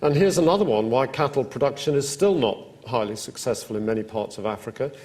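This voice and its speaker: Here a man speaks very fast with a British accent. His fairly high voice has lively intonation. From United Kingdom. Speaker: professor. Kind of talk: lecture.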